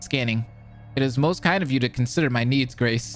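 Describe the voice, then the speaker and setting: A man puts on a character voice at a medium pitch, talking at a fairly quick pace. Clear music plays in the background. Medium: video game. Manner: formal, courteous.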